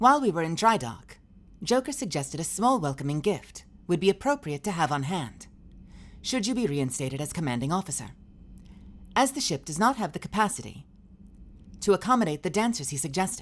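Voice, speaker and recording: In a put-on, robotic character voice, a female-sounding speaker with fairly low pitch talks at a fairly quick pace, using very wide pitch swings and long, frequent pauses. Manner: robotic, computer-like.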